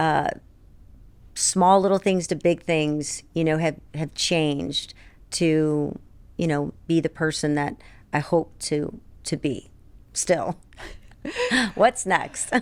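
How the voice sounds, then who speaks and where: A woman talks very slowly in a very deep, low voice, with long, frequent pauses. The recording is very clean with a silent background. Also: ordinary pitch variation. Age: 60s. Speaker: publisher and radio personality. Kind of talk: casual chat.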